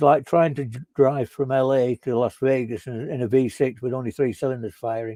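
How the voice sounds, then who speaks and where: A man with a Northern English accent, dark and mellow in tone, medium-pitched, at a moderate pace, with a dry, close sound and no echo. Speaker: software consultant. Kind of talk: conference talk discussion. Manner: halting, many fillers.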